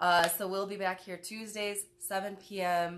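At a fairly slow pace, a woman speaks with an American accent over light background noise. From Detroit, US Midwest. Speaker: talk show host. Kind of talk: casual chat. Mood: relaxed, warm. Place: home room. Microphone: phone near.

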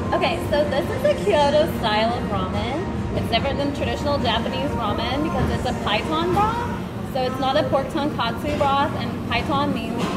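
A woman at a moderate pace over loud music in the background. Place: cafe. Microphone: phone near.

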